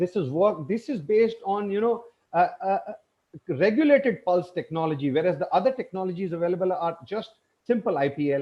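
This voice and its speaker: A man talks at a fairly quick pace in a high pitch with lively intonation. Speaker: eye surgeon presenting at webinar. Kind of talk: webinar presentation. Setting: online webinar. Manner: fast.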